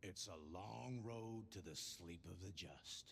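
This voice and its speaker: Someone puts on a character voice at a fairly slow pace. Clear background noise runs beneath it. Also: man, very deep, low pitch for a man. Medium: video game. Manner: drawling, cryptic.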